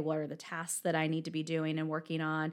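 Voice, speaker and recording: At a fairly quick pace, the speaker talks with an American accent. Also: woman. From Virginia, US. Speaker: accounting firm partner. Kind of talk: interview.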